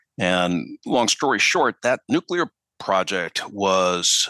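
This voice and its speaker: This man's voice sits very deep and low, with a bright, sharp tone and a dry, close sound that has no echo. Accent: Midwestern US. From Minneapolis, US Midwest. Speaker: newspaper reporter. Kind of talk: interview conversation. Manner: hesitant, repeats words.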